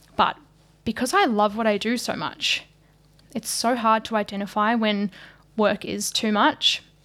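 Speaking with a New Zealand accent, a woman uses a fairly high pitch and fairly even intonation. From New Zealand, small country town. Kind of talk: casual chat.

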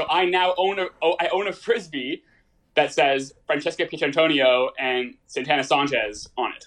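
The speaker has a normal speaking voice with a Canadian accent. The pace is moderate and the pitch variation ordinary. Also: man, fairly high pitch for a man. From Toronto, Canada. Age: 20s. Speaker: medical student. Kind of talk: casual chat. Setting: remote call.

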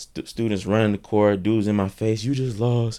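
A man with an American accent uses an ordinary speaking voice, fairly low in pitch, at a moderate pace. The recording is very clean, with a silent background. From North Carolina, Thomasville. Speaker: college basketball player. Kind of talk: casual chat.

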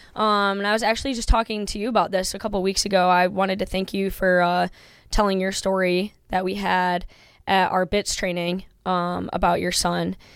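A woman with an American accent at a medium pitch, fairly quick and monotone with flat intonation, on a very clean recording with a silent background. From upstate New York. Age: 20s. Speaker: Marine Corps junior officer. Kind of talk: casual conversational interview.

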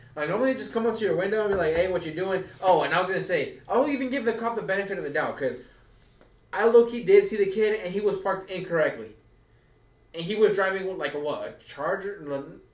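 A man talks at a very fast pace in a high pitch with ordinary pitch variation, and the room echo is audible. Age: 20s. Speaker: podcast co-host. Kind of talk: casual chat.

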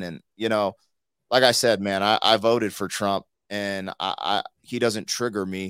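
A normal speaking voice at a moderate pace with fairly even intonation, dry and close with no echo, in a very clean recording with a silent background. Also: man. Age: 40s. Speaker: hip-hop artist and YouTuber. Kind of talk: casual chat.

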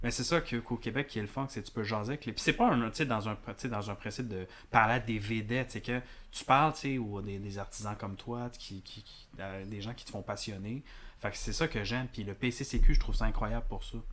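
A man with a plain, everyday voice speaks at a medium pitch and a moderate pace with fairly even intonation, in a very clean recording with a silent background. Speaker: filmmaker and former film teacher. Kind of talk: casual chat.

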